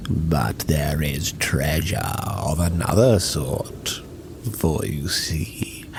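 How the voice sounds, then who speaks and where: Whispering in a put-on character voice at a very slow pace, a man speaks over loud background noise. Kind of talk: dark fantasy monologue. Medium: audio drama. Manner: measured, condescending, archaic.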